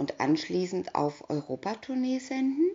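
Her tone calm and playful, a woman talks at a fairly slow pace with very wide pitch swings. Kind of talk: bedtime story reading aloud. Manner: calm, storyteller pacing, playful character voices; clear, even, narrator-like delivery.

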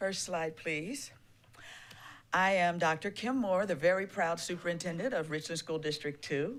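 An unremarkable speaking voice, moderately paced, its pitch varying in an ordinary way. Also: woman, fairly low pitch for a woman. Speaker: school superintendent. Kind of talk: public presentation. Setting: council meeting.

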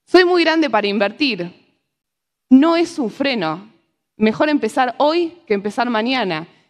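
In a Rioplatense accent, a woman speaks in a high voice with very wide pitch swings. She leaves long, frequent pauses against a quiet background. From Argentina. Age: 20s. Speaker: economist and financial educator; speaker. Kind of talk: talk to a live audience. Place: stage. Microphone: lapel.

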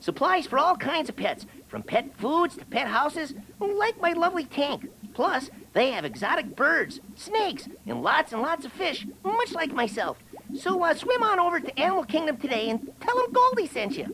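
The pitch here is high. It belongs to a put-on character voice. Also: moderate pace. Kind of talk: radio commercial. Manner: cheerful, salesy.

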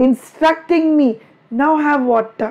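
A woman with an Indian accent speaks with very wide pitch swings over noticeable background noise. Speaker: online teacher. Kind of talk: live online class. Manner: loud; animated.

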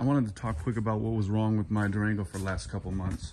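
A man's fairly low, dark, mellow voice with fairly even intonation, over light background noise. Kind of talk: casual repair vlog chat. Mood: relaxed, relieved. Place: garage. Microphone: phone near.

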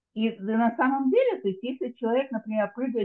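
A woman speaks in a fairly high voice. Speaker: audience member asking questions. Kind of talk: online Q&A. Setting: video call.

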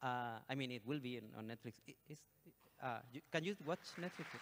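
The pace is fairly quick and the tone fairly bright. Pitch varies in an ordinary way. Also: man, medium pitch for a man.

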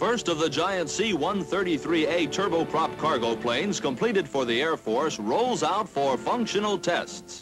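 Against clear music in the background, a man speaks at a moderate pace with lively intonation and hardly any pauses. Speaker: newsreel narrator. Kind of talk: newsreel narration. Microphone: old recording.

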